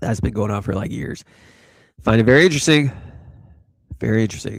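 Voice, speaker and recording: An animated voice rushes along at a very fast pace with lively intonation. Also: man, medium pitch for a man. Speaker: crypto livestream host. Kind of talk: casual live stream chat.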